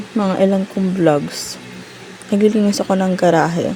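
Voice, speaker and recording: Over noticeable background noise, a woman talks at a moderate pace. Her pitch sits in the medium range. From Philippines. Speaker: mom vlogger. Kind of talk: unboxing vlog. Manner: talkative. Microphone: sound dropped out, mic issue.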